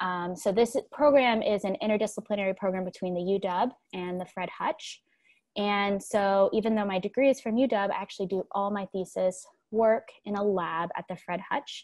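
In a quiet background, a woman with a plain, everyday voice speaks at a moderate pace and medium pitch, with ordinary pitch variation. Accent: American. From Texas, Houston. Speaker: PhD student researcher; presenter. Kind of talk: lecture. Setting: video call. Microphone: webcam.

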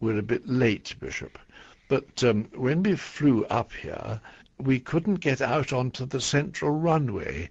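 A man speaks at a very slow pace with vocal fry and lively intonation. The background is quiet. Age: 80s+. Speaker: retired bishop. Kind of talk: radio interview answer. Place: studio.

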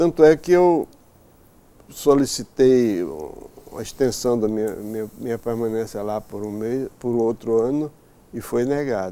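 A man with a dark, mellow tone at a fairly slow pace, lively intonation, big shifts in volume and long, frequent pauses. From Brazil, Maceió (Alagoas, Northeast); Alagoas, Brazil. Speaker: mathematician. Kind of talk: interview. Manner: halting. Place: office. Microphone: lapel.

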